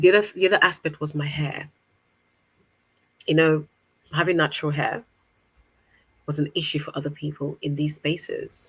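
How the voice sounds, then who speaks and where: A woman speaks with a very deep, low pitch and a somewhat breathy quality, in an African accent. Her intonation is fairly even, broken by long, frequent pauses. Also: moderate pace. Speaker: guest on interview podcast. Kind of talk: interview conversation.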